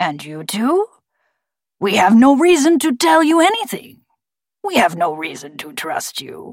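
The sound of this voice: A woman's put-on character voice, gravelly and fairly high-pitched, with very wide pitch swings and a fairly slow pace.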